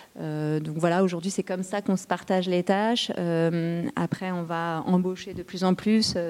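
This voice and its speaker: A woman with a plain, everyday voice speaks at a fairly slow pace with hardly any pauses. Her pitch is fairly low and her intonation fairly even. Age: 40s. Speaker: startup co-founder. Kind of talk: interview.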